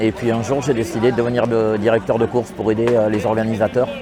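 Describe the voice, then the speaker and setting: Noticeable background noise sits behind a man's voice. He speaks at a moderate pace and medium pitch. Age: 60s. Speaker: race director. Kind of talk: interview.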